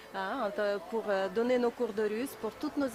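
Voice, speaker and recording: A woman talks at a fairly slow pace while noticeable background noise runs behind her. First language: Russian (speaking French). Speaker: language teacher. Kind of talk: short thank-you speech. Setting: community centre open day.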